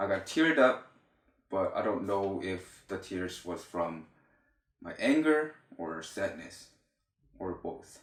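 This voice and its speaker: Speaking at a very slow pace with long, frequent pauses, a man with a Korean accent uses a fairly low voice that makes very wide pitch swings. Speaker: YouTuber. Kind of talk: reading aloud. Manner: halting.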